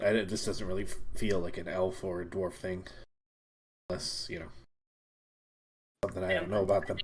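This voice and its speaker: Using a put-on character voice, a man speaks with a raspy, very deep, low pitch and long, frequent pauses. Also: fairly quick pace. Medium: actual play.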